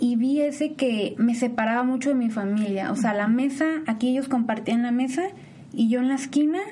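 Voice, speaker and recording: Over noticeable background noise and audible room echo, a woman with a high pitch and ordinary pitch variation talks at a moderate pace. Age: 20s. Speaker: nutrition and psychology student. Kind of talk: interview. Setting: university.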